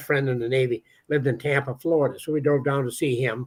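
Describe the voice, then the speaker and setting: With an American accent, a man talks at a very fast pace using fairly even intonation. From Minnesota, US Midwest. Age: 80s+. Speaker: treasure hunter and author. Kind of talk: storytelling interview. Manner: talkative, halting with repetitions.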